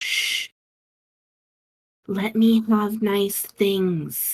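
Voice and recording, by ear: A female-sounding put-on character voice at a medium pitch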